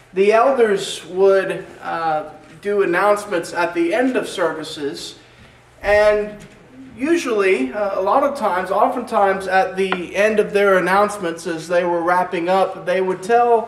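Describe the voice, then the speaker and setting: With audible room echo and light background noise, a man speaks at a fairly slow pace in a high pitch with ordinary pitch variation. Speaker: preacher. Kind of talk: sermon. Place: church.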